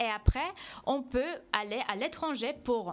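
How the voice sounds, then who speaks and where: A woman with a Polish accent makes very wide pitch swings on a very clean recording with a silent background. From Poland. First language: Polish (speaking French). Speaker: foreign language teacher. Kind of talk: TV interview. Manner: hesitant, many fillers.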